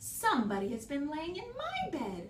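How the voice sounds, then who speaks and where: A woman's growling, put-on character voice, high in pitch, with clear background noise. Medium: read story.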